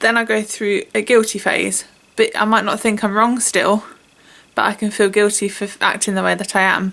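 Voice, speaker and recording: Speaking in a British accent, a woman has a medium-pitched voice with a bright, sharp tone. Her pace is moderate and her intonation monotone and flat. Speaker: vlogger. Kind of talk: personal testimony. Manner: halting.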